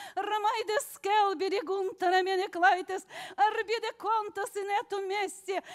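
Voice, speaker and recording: In a quiet setting, a woman talks at a very slow pace in an extremely high-pitched voice with fairly even intonation. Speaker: congregant. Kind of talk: prophecy in tongues. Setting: church. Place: church.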